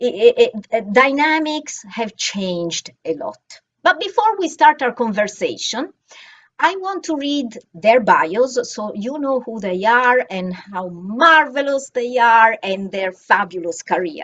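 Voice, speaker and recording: Speaking with an Italian accent, a woman uses a high pitch with very wide pitch swings. Her pace is fairly slow, and her loudness swings widely. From Italy, Florence. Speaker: bookstore event coordinator and moderator. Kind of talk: moderated panel introduction, reading bios. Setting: video call event.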